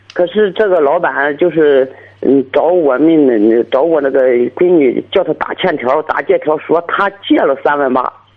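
A man with an unremarkable speaking voice talks at a fairly slow pace and fairly high pitch, with ordinary pitch variation and very even loudness. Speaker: parent caller. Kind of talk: phone-in advice call. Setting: phone call.

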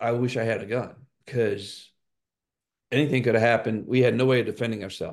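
Against a quiet background, the speech comes at a very fast pace. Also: man. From New Orleans, Louisiana. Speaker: franchise consultant. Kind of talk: interview conversation.

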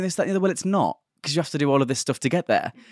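Dry and close with no echo, a man's voice is heard. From County Durham, north-east England. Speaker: travel journalist. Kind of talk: casual interview chat. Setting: in person, recorded in Indonesia.

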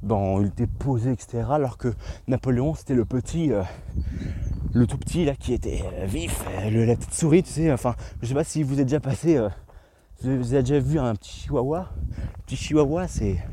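Speaking at a moderate pace and a medium pitch, a man uses lively intonation broken by long, frequent pauses. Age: 20s. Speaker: podcaster. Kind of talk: solo monologue. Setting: outdoors in nature. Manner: hesitant, many fillers.

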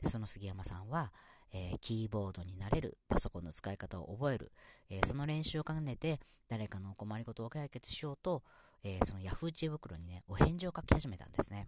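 At a fairly quick pace, a man with a medium pitch speaks with very wide pitch swings and big swings in loudness on a very clean recording with a silent background. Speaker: podcast host. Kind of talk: casual solo audio broadcast. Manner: halting, filler-heavy; warm, enthusiastic.

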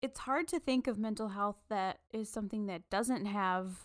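Over a silent background in a very clean recording, a woman with a plain, everyday voice speaks at a fairly high pitch with ordinary pitch variation. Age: 30s. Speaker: book podcast co-host. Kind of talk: casual chat.

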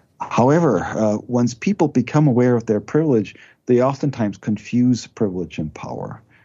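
A man speaks with a German accent. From Germany. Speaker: theology professor. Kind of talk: interview.

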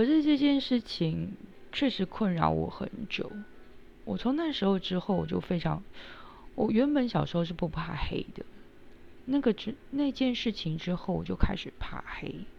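A woman speaks at a moderate pace in a medium-pitched, somewhat breathy voice. Her pitch swings very widely, and she leaves long, frequent pauses. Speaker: podcast host. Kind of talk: personal storytelling monologue.

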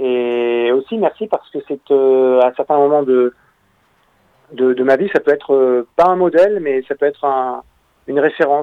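Fairly high male voice, its pitch varying in an ordinary way. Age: 30s. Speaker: journalist and documentary maker, author. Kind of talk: radio interview.

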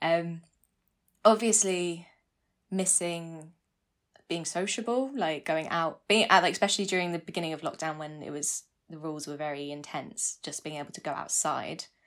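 In a very clean recording with a silent background, a woman with a southern English accent speaks at a moderate pace, her loudness swinging widely while her pitch varies in an ordinary way. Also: fairly low pitch for a woman. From southern England (North London, then East Sussex). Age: 20s. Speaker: interview guest. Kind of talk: casual interview.

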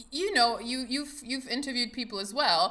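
A woman speaks in a raised, projected voice with a German accent. Her pitch is high and her tone bright and sharp. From Germany. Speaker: podcast host. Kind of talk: casual conversational interview.

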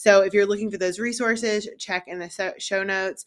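A woman speaks in a normal speaking voice. Her intonation stays fairly even. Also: very clean recording, silent background. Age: 30s. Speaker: podcast host and business owner. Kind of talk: solo podcast monologue. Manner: casual, conversational.

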